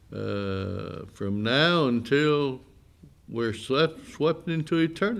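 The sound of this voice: A man speaks at a medium pitch with vocal fry. His intonation is lively.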